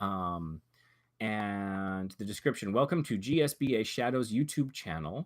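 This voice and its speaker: With lively intonation, a man talks over a quiet background. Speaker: youtube channel reviewer. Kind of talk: livestream channel review. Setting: livestream with camera. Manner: fast. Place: home room. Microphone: webcam.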